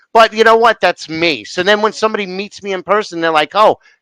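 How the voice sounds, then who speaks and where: A man with an American accent has a bright, sharp tone and ordinary pitch variation. The sound is dry and close, with no echo. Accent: strong blue-collar New York City. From New York City. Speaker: interview host. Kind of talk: interview conversation. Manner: slurs some words, imperfect diction.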